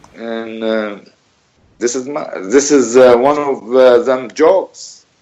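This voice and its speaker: Speaking very slowly with a non-native accent, a man uses a medium pitch and fairly even intonation. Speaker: bereaved father of a journalist. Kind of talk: radio interview. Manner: emphatic. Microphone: bad connection.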